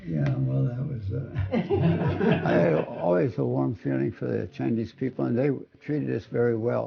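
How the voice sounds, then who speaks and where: Speaking with an American accent, a man uses a very deep, low pitch. His pitch swings very widely, and his pace is fairly slow. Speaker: war veteran. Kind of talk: testimony.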